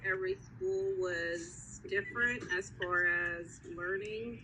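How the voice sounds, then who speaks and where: A woman is speaking. She has a Spanish accent. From Mexico. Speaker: interviewee, parent. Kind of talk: casual interview. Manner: hesitant.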